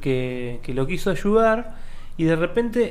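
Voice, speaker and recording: A man speaks in a high voice with a Rioplatense accent and lively intonation. Audible room echo surrounds him. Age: 30s. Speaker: radio host. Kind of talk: casual chat. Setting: studio.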